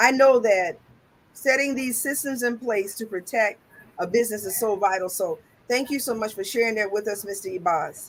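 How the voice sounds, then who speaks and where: A woman's ordinary speaking voice with an American accent, fairly high in pitch, with ordinary pitch variation at a moderate pace. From US South, South Carolina. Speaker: talk show host. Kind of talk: interview.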